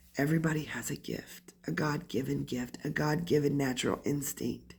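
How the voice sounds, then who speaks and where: With vocal fry and fairly even intonation, a woman speaks at a moderate pace in a very deep, low pitch. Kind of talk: casual talk to camera. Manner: ranting.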